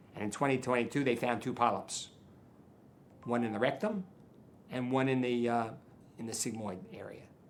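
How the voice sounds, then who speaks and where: Audible room echo surrounds a man of medium pitch who speaks at a moderate pace with fairly even intonation and long, frequent pauses. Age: 70s. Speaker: charity donor. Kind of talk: interview. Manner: repetitive, halting.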